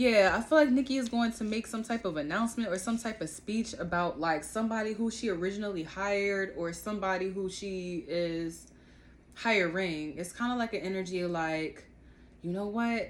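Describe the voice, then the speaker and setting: A woman with an animated tone talks in a medium pitch for a woman, varying her pitch in an ordinary way. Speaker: tarot reader. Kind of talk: tarot reading. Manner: fast; casual, animated.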